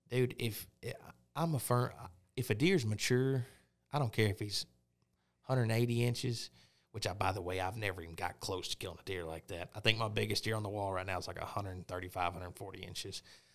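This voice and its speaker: Talking at a very fast pace with an Arkansas accent, a man with a fairly low pitch and ordinary pitch variation is heard on a very clean recording with a silent background. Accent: Southern US (Arkansas). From Arkansas, Pine Bluff (South Central). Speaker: hunter. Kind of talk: casual chat.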